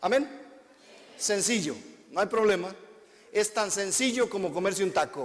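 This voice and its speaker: Pausing long and often, a man speaks at a fairly slow pace in a high pitch with lively intonation. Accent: Guatemalan. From Guatemala. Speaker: visiting preacher. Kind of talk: sermon. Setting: church with congregation.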